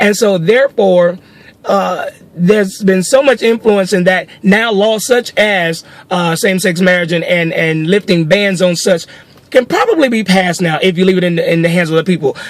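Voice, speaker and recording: A man speaks in an animated tone, his voice high in pitch for a man, with ordinary pitch variation. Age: 40s. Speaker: social commentary video blogger. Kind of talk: opinion rant. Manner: fast.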